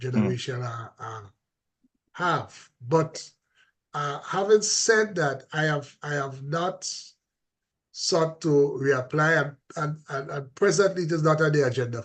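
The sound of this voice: Speaking at a fairly slow pace, a man uses a fairly high pitch and a fairly bright tone with ordinary pitch variation.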